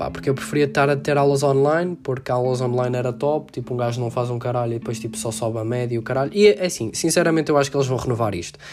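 A man talks at a very fast pace with hardly any pauses, his medium pitch moving with ordinary variation in an animated tone over noticeable background noise. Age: 18. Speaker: student podcaster. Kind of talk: casual monologue. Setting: at home.

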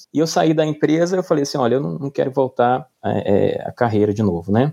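A man's dark, mellow voice, fairly quick with lively intonation, against a quiet background. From Brazil, Pernambuco interior then Brasília. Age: 40s. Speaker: entrepreneur. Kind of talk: interview.

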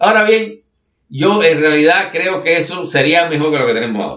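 Fairly high in pitch, a man speaks in an unremarkable speaking voice with ordinary pitch variation. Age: 60s. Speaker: writer and commentator. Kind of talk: conversational monologue. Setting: home studio.

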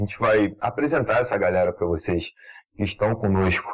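At a moderate pace, a man talks in a relaxed tone with ordinary pitch variation. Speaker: podcast host. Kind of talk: casual chat.

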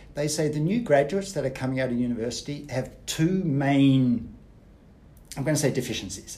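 In an Australian accent, a man speaks with lively intonation and a dark, mellow, somewhat breathy tone, with audible room echo. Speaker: business coach, former banker. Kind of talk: podcast interview.

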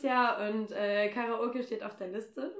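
A woman speaks at a fairly high pitch. She has an unremarkable speaking voice. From Germany, Nordheim. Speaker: podcast host. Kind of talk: casual chat. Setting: in person at a home in Kassel.

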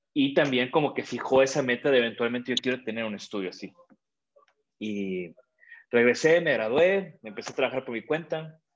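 Against a quiet background, a man in a normal speaking voice talks at a fairly quick pace with medium pitch, lively intonation and big swings in loudness. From Mexico. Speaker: industrial designer. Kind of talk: interview. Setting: video call.

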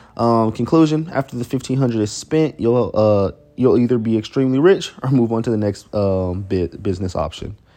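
Background music beneath a man speaking fairly fast at a medium pitch. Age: 20s. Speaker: entrepreneur vlogger. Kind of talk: casual solo talk reading journal notes. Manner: halting, many fillers.

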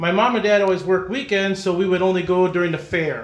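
A man speaks with a Wisconsin accent, and noticeable background noise can be heard. Audible room echo surrounds his voice. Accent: Upper Midwest (Wisconsin). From De Pere, Wisconsin. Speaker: racing club president and former race driver. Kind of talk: casual interview.

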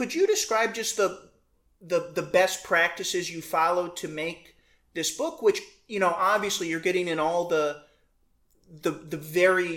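With an American accent, a woman uses an ordinary speaking voice at a fairly low pitch and a moderate pace. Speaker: podcast host interviewer. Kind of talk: interview conversation.

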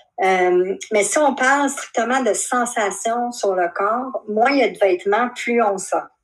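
A woman speaks with a Quebec accent. Her pace is very slow. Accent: Québécois French. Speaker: shibari practitioner. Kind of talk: interview. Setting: video call.

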